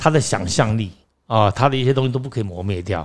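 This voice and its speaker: On a very clean recording with a silent background, a man with an unremarkable speaking voice talks at a fairly quick pace, his medium pitch carrying lively intonation. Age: 60s. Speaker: actor and acting teacher. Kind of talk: interview.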